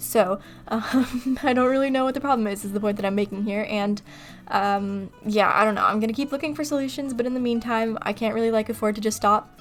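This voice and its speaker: Music plays in the background as a woman talks at a fairly quick pace. She has an American accent and a fairly high pitch with ordinary pitch variation. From California. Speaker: gaming YouTuber. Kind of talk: voiceover commentary. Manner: casual, many fillers.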